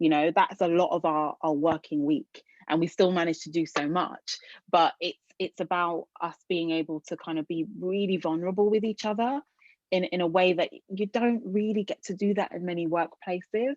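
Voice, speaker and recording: In a British accent, a woman speaks at a moderate pace with a fairly low pitch and ordinary pitch variation. The sound is dry and close with no echo, over a quiet background. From England. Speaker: arts organisation leader. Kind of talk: webinar talk. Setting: video call. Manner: hesitant, many fillers.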